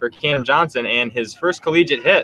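This man has a plain, everyday voice with fairly high pitch. He talks at a fairly quick pace. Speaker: color commentator. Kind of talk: live sports commentary, analysis between pitches. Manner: relaxed, conversational, informative.

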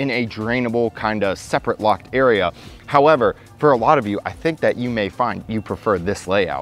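With faint music in the background, the voice moves at a fairly quick pace with ordinary pitch variation. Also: man. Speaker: car reviewer. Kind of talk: product review commentary. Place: hall.

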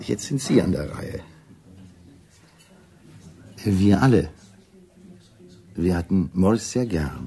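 Using a put-on character voice, a man speaks slowly at a low pitch, with a dark, mellow tone, a slightly husky edge, lively intonation and long, frequent pauses.

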